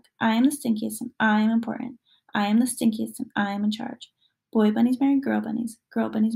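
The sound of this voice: Quiet background, unforced reading voice.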